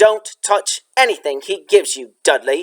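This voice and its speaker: Growling and raspy, a man performs a put-on character voice at a moderate pace. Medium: read story.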